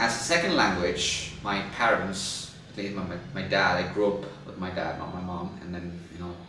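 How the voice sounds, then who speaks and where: Monotone, flat speech in a non-native accent at a moderate pace, with hardly any pauses and big swings in loudness, plus audible room echo and noticeable background noise. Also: man, very deep, low pitch for a man. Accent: non-native English speaker. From India. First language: Telugu. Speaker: podcast post-production agency founder, YouTuber. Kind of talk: casual monologue to camera. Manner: halting, with restarts.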